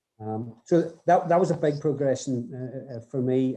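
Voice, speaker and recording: A man's dark, mellow, medium-pitched voice with a Northern Irish accent. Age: 60s. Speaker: rugby development coach. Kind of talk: podcast interview. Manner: halting, many repeated words.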